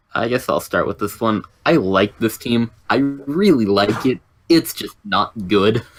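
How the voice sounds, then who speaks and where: Music plays in the background as a man talks at a fairly slow pace. His pitch is medium and his intonation lively. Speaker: Pokemon draft league analyst. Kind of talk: casual chat.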